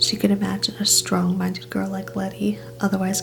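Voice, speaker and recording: The speaker is soft-spoken with a gentle tone, and music plays in the background. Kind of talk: quiet narration of novel prose. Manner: soft-spoken, gentle.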